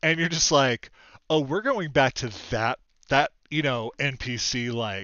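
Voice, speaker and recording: At a fairly slow pace, a man talks in an unremarkable speaking voice. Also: medium pitch for a man, ordinary pitch variation. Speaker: talk show host. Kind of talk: casual chat.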